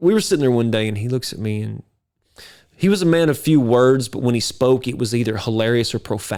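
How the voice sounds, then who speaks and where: A man's medium-pitched voice in an East Texas accent, animated and lively in intonation at a fairly quick pace, on a very clean recording with a silent background. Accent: East Texas Southern. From East Texas (near Carthage). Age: 50s. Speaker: videographer and entrepreneur. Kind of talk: podcast interview, personal storytelling.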